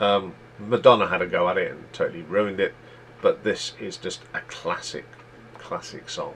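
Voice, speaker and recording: A man with an East Midlands accent talks at a moderate pace, his loudness swinging widely. Light background noise is present. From England, East Midlands (near Leicester). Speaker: YouTube music chart host. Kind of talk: solo music countdown commentary. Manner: casual, conversational. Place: home room. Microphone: webcam.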